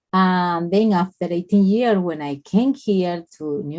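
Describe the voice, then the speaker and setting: In a Colombian accent, a woman speaks at a fairly low pitch with ordinary pitch variation. Her tone is dark and mellow. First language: Spanish. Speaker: nurse and spa owner. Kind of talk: interview. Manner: halting.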